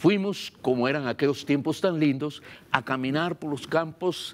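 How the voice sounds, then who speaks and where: A man speaks with a Guatemalan accent. The recording is very clean, with a silent background. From Guatemala, Baja Verapaz. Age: 70s. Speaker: pastor. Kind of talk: sermon.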